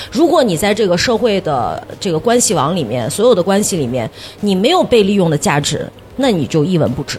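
Over noticeable background noise, a woman with a medium pitch speaks in an animated tone at a fairly quick pace, her pitch swinging very widely. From northern Shaanxi, China. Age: 40s. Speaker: TV host and livestreamer. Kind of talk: casual chat. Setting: stage with live audience.

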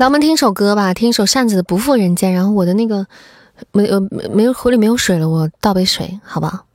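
A woman talks at a very fast pace with very even loudness, her playful, animated tone showing ordinary pitch variation. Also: medium pitch for a woman. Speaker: livestream host. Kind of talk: radio dj patter. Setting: live stream with viewers. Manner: playful, teasing, animated.

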